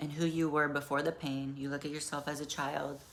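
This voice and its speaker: Audible room echo surrounds a woman speaking in a very deep, low voice with monotone, flat intonation. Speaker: self-help vlogger. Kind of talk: casual personal monologue. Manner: halting.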